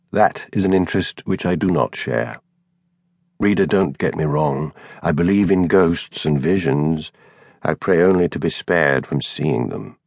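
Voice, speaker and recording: A man with a very deep, low pitch and vocal fry talks at a moderate pace with ordinary pitch variation, in a dry, close sound with no echo. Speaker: audiobook narrator. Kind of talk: scripted narration of a fictional elderly actor's bawdy memoir, first person. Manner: wry, conspiratorial old raconteur relishing lurid childhood details.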